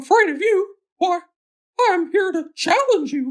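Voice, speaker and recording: Squeaky and extremely high in pitch, this put-on character voice moves at a moderate pace. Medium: read story. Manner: cheerful, bold.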